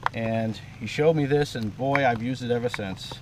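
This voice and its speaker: A man with a Maine accent and ordinary pitch variation, over noticeable background noise. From Maine, Farmington. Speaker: gold prospecting equipment inventor. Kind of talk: product demonstration.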